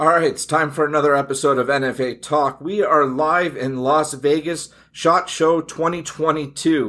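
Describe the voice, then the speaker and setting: A man with a plain, everyday voice, fairly high in pitch, at a fairly slow pace with hardly any pauses and fairly even intonation. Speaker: gun rights podcast host. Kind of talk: casual chat. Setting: trade show.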